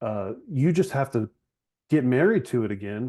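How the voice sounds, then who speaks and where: At a moderate pace, a man speaks in a medium pitch with a dark, mellow tone and ordinary pitch variation. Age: 40s. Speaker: chiropractor and business founder. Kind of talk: podcast interview conversation. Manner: casual, conversational with fillers.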